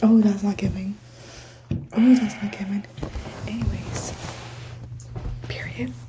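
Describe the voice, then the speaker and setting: A woman speaks at a fairly slow pace with long, frequent pauses. Noticeable background noise runs underneath. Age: young. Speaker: podcast host. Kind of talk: casual chat. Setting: college study room. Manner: quiet.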